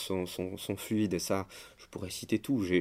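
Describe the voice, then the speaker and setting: On a very clean recording with a silent background, a man speaks in a fairly low voice. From France, Paris. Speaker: composer, organist and music teacher. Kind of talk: interview. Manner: halting, many hesitations and repeated words.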